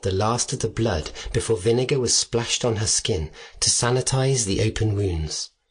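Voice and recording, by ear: Reading aloud in a natural voice, the speaker shows ordinary pitch variation.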